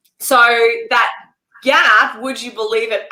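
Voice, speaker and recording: A woman with an Australian accent uses lively intonation. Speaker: entrepreneur, former journalist, pay gap advocate. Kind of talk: interview.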